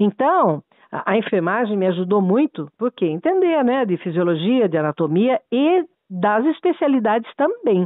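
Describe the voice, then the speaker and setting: Very even loudness and a moderate pace from a woman with a fairly high pitch and very wide pitch swings. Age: 60s. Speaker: lawyer. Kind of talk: heated debate. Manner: animated.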